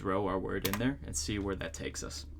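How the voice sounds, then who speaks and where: This man has a fairly low pitch and vocal fry. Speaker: solo podcast host. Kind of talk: casual solo podcast chat. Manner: fast; halting, many fillers and restarts.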